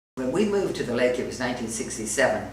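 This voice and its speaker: Her voice is very deep and low, heard over noticeable background noise. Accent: American. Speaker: retired real estate broker. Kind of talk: interview answer.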